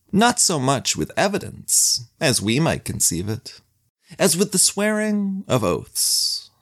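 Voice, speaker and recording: Pitched high, a man speaks at a very slow pace with very wide pitch swings. The recording is very clean with a silent background. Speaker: podcast narrator. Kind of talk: saga narration, scripted storytelling. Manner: measured, dry, wry storyteller.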